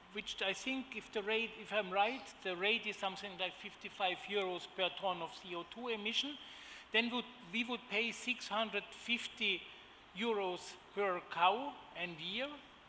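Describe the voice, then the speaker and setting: Here a man talks at a high pitch with ordinary pitch variation. He speaks at a moderate pace with a German accent. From Germany. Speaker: agribusiness executive. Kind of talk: conference panel presentation. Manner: halting, many fillers.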